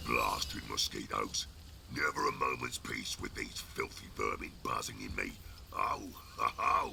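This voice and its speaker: A man puts on a character voice, delivered at a moderate pace with clear background noise behind him. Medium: video game. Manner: gruff, taunting.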